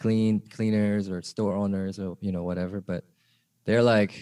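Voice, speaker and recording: On a very clean recording with a silent background and a dry, close sound with no echo, a man speaks at a moderate pace with fairly low pitch, a dark, mellow tone and monotone, flat intonation. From Korea until age 10, then Atlanta, Georgia. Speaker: rapper and videographer. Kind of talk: casual chat. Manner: halting.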